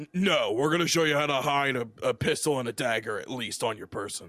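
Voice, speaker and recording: In a raspy, put-on character voice, a man talks at a fairly quick pace with a fairly high pitch. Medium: actual play. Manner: blunt, businesslike.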